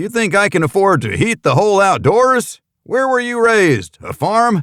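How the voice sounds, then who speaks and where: In a put-on character voice, a man speaks with a high pitch and lively intonation. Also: moderate pace, dry, close sound with no echo. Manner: scolding, gruff.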